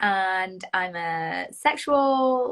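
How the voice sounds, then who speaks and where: Speaking with lively intonation, a woman has a British accent. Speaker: Enneagram coach. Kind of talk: casual chat.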